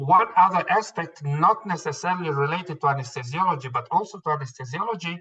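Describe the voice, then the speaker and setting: With a bright, sharp tone, a man speaks at a high pitch and fairly quick pace, with ordinary pitch variation. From Israel. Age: 60s. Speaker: anesthesiologist. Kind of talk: interview. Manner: hesitant, many fillers and repeats.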